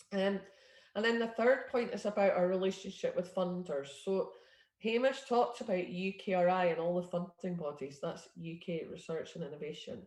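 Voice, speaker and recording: A woman with a Scottish accent speaks at medium pitch and a moderate pace, somewhat breathy, with ordinary pitch variation. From Scotland. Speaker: innovation network leader. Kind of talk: presentation. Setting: video call.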